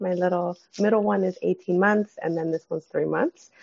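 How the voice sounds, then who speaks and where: A woman is speaking. She has a Californian accent. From San Fernando Valley, California. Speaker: clinical social worker. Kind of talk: casual interview. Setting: at home with sleeping baby.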